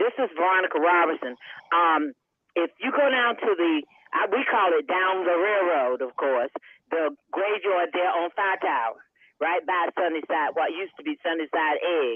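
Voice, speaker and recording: With an eastern North Carolina accent, a woman talks at a moderate pace with lively intonation. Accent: eastern North Carolina Southern. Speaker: town councilwoman. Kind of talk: panel discussion. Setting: radio studio panel.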